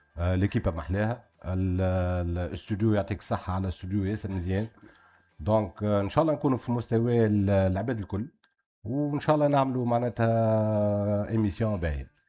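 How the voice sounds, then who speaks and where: Recorded very clean against a silent background, a man with a Tunisian accent speaks at a fairly low pitch and fairly quick pace, with ordinary pitch variation and a dark, mellow tone. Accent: Tunisian Arabic with French code-switching. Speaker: festival organizer, TV panelist. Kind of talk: casual talk show chat. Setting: studio.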